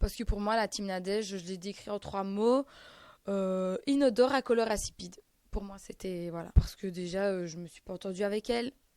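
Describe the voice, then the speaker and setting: In a very clean recording with a silent background, a woman with a strong Belgian accent speaks at a moderate pace in a dark, mellow tone, with ordinary pitch variation and big swings in loudness. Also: medium pitch for a woman. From Belgium. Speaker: reality TV contestant. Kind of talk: interview answer.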